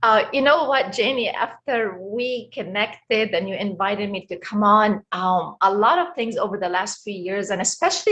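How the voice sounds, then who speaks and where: A woman with an Egyptian accent speaks at a moderate pace, using ordinary pitch variation. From Egypt, Cairo. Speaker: life coach. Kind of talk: interview.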